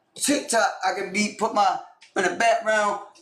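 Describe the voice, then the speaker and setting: With audible room echo, a man speaks at a moderate pace in an animated tone and an extremely high pitch. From Maryland, Baltimore. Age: 30s. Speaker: streamer and YouTuber. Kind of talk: casual chat.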